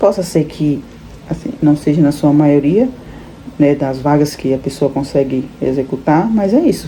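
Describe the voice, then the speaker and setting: Over noticeable background noise, a woman speaks fairly slowly in a very deep, low voice with ordinary pitch variation. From Brazil, Salvador (Bahia). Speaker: immigrant vlogger. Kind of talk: casual vlog monologue.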